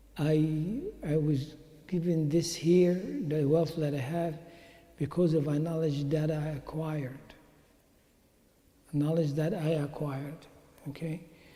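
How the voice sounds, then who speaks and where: Pausing long and often, a man with a fairly high pitch speaks at a fairly slow pace in a dark, mellow tone with monotone, flat intonation, and the room echo is audible. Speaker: Islamic teacher. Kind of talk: religious talk. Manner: halting.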